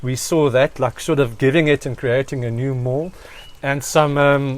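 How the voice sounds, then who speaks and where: Here is a man with an ordinary speaking voice. He is fairly high-pitched and talks at a fairly slow pace. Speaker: rugby podcast co-host. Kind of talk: casual chat.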